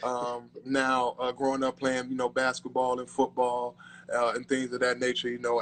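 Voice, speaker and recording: This man speaks at a fairly quick pace with an American accent and a medium pitch. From US Midwest and South (Gary, Indiana and Durham, North Carolina). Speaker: former professional football player. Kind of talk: casual interview.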